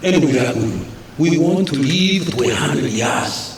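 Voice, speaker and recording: A man's pitch swings very widely amid audible room echo and noticeable background noise. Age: 80s+. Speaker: finance minister delivering budget. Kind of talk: budget speech in parliament. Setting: parliament chamber.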